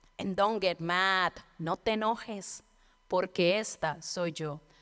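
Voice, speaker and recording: A woman with a fairly low voice and a Colombian accent talks at a fairly slow pace with fairly even intonation, in a very clean recording with a silent background. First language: Spanish. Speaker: storyteller. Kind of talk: storytelling performance.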